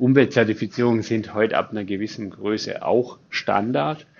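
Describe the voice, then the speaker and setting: A man speaks at a medium pitch. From Allgäu, southern Germany. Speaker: company owner. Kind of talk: interview. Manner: halting, many fillers.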